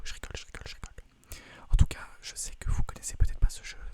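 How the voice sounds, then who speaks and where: A man whispers over noticeable background noise. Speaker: ASMR video creator and gamer. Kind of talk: casual talk to camera. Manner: fast, casual, joking.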